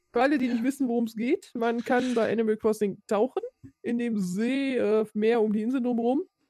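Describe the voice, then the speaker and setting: A woman speaks at a fairly quick pace with a fairly high pitch and ordinary pitch variation. Her tone is dark and mellow, and the sound is dry and close with no echo. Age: 30s. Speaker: podcast co-host. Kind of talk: casual chat.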